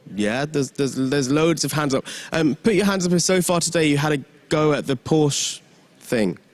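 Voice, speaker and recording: A man with a London accent, fairly high in pitch, at a moderate pace. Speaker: event MC. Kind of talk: stage hosting. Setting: conference stage with audience. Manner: animated.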